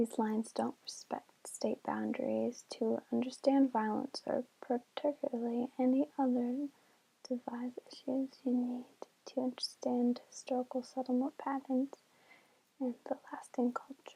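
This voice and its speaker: The speaker is soft-spoken, with monotone, flat intonation and a fairly slow pace. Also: woman, high pitch for a woman. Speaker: ASMR creator. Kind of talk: reading an article aloud, ASMR style. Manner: soft-spoken, relaxing.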